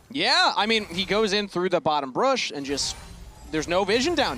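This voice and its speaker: Over music in the background, a man with a Minnesotan accent uses a raised, projected voice, high in pitch with very wide pitch swings. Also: moderate pace. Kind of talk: casual commentary.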